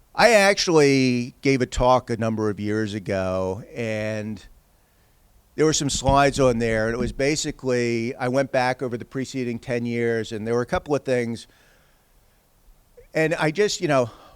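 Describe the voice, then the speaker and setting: The pitch varies in an ordinary way, and this is a normal speaking voice. Delivery moves along at a moderate speed. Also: man, medium pitch for a man. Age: 60s. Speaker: economist. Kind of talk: lecture.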